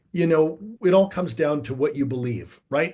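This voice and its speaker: Against a quiet background, a man with a fairly high pitch speaks at a moderate pace with lively intonation. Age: 50s. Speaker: life coach. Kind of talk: interview. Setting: podcast.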